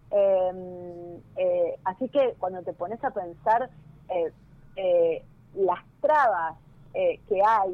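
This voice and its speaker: This woman's voice sits at medium pitch with ordinary pitch variation. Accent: Rioplatense. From Buenos Aires, Argentina. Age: 40s. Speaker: mechanic and social media influencer. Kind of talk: interview. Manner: hesitant, many fillers and repetitions.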